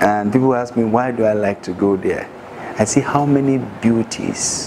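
Noticeable background noise sits under a voice that moves at a fairly slow pace with ordinary pitch variation. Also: man. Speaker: speaker. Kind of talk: motivational talk. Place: classroom.

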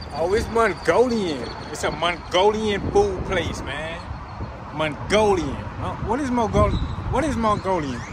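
Fairly slow speech from a man, noticeable background noise behind it. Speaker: vlogger. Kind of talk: casual vlog chat.

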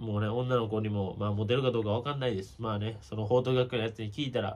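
Somewhat breathy, a man speaks very fast in a Kansai accent. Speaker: baseball YouTuber. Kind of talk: casual commentary monologue. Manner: casual, chatty. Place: home room. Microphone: phone near.

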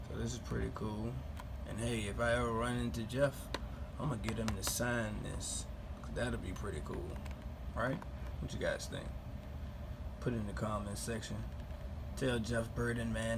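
A man at a moderate pace with long, frequent pauses and noticeable background noise. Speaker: collector vlogger. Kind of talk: casual vlog chat. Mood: enthusiastic, relaxed. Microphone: phone near.

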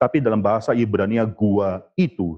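The pitch variation is ordinary. The background is quiet. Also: man. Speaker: preacher. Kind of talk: sermon. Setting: church. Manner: earnest, impassioned preaching with emphatic warnings; expository, explaining the text step by step. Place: church. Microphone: lapel.

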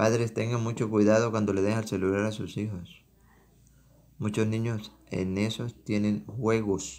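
This man talks at a fairly slow pace with a fairly low pitch and fairly even intonation. He leaves long, frequent pauses. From Venezuela, Táchira. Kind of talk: sermon.

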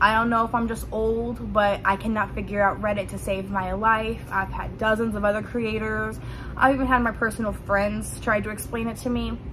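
Noticeable background noise runs on while a woman speaks at a moderate speed. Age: 20s. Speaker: content creator vlogger. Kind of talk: casual vlog monologue. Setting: home basement with dryer running. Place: home room. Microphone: phone near.

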